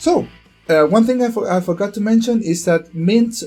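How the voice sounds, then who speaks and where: A man's speech keeps a moderate pace while music plays underneath. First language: not English. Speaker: gaming youtuber. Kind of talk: tutorial. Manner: hesitant, many fillers.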